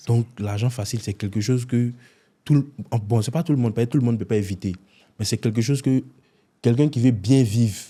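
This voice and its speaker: Somewhat breathy with a dark, mellow tone, the voice moves at a very fast pace broken by long, frequent pauses, with ordinary pitch variation on a very clean recording with a silent background. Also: man, medium pitch for a man. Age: 20s. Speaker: content creator, prankster. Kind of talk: interview.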